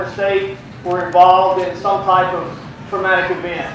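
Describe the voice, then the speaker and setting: A man speaks with a high pitch. Strong room echo and noticeable background noise fill the recording. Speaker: conference presenter. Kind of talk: lecture. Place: tent. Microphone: camera far.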